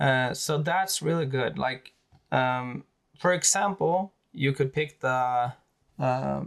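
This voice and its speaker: At a very slow pace, a man with a Swedish accent and fairly high pitch keeps very even loudness in a very clean recording with a silent background. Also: ordinary pitch variation. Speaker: wargaming YouTuber. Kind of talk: tutorial. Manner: halting, many fillers.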